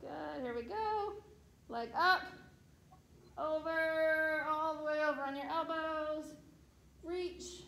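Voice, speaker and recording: Very slow delivery with ordinary pitch variation and audible room echo. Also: woman, extremely high pitch for a woman. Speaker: fitness instructor. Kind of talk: exercise class cues. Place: hall. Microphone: camera far.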